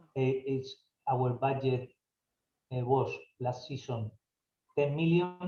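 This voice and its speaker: Speaking at a fairly slow pace, a man with a medium-pitched, somewhat breathy voice and a dark, mellow tone keeps his intonation fairly even. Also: long, frequent pauses. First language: Spanish. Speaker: football club director. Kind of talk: Q&A session. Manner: halting.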